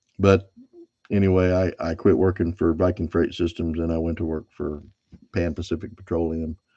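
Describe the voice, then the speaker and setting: The tone is dark and mellow, with a Californian accent. Delivery comes at a moderate pace in a flat monotone. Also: man, very deep, low pitch for a man. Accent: Bakersfield. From California (Bakersfield, Kern County). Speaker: silver stacking YouTuber, former truck driver. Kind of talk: casual live stream chat.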